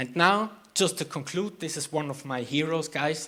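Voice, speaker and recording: A man's normal speaking voice, fairly high in pitch, with ordinary pitch variation and a fairly slow pace. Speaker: vertical farming expert speaker. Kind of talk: conference talk.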